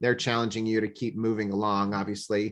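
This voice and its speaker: A man with a Midwestern American accent talks in a fairly low voice. His intonation is flat and monotone over a quiet background. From Nebraska. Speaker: leadership author and coach. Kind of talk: podcast interview answer. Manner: casual, hesitant with fillers.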